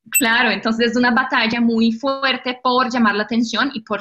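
With a Portuguese accent, a woman speaks at a fairly high pitch in a bright, sharp tone. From Brazil. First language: Portuguese (speaking Spanish). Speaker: digital marketing specialist. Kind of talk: interview.

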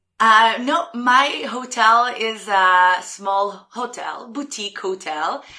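A woman's fairly high, bright, sharp voice in an Israeli accent, at a very slow pace. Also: ordinary pitch variation. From Israel (Jerusalem). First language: Hebrew. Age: 20s. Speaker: former hotel receptionist. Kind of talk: casual interview. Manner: talks with her hands, animated.

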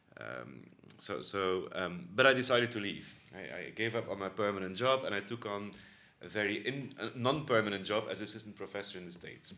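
A man with a bright, sharp tone and vocal fry talks fairly quickly at a fairly low pitch, his loudness swinging widely. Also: ordinary pitch variation. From Belgium, Bruges, West Flanders. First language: Dutch (Flemish). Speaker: university institute director. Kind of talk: interview. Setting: office. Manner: halting.

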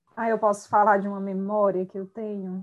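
Monotone, flat intonation in a medium-pitched female voice. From Brazil, Ceará sertão (Quixadá). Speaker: psychology professor. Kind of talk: casual chat.

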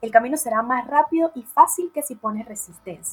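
A woman talks in a high voice, her intonation lively. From Venezuela. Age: 20s. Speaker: podcast co-host, lawyer and tarot reader. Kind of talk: casual chat.

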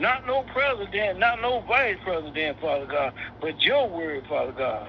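A man's pitch swings very widely as he talks at a moderate speed, with noticeable noise in the background. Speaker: prayer participant. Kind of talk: prayer. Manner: repetitive, fervent.

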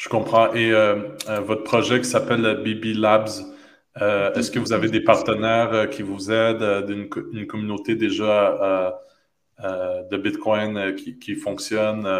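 Very slowly, a man speaks at a fairly low pitch in a monotone, flat intonation. Long, frequent pauses and audible room echo fill the clip. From Quebec (Montreal). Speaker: podcast host. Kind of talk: interview. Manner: halting, many repetitions.

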